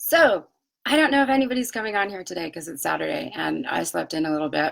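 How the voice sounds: A woman does a raspy put-on character voice at medium pitch. She races along at a very fast pace with very wide pitch swings.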